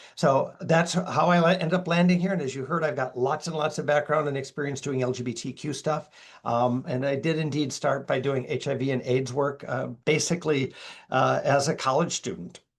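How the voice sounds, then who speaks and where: In a Minnesota accent, this somewhat breathy voice goes at a fairly quick pace with ordinary pitch variation over a quiet background. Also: man. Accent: Minnesota accent, occasional long vowels. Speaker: LGBTQ+ educator and speaker. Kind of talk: webinar presentation. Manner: casual, conversational.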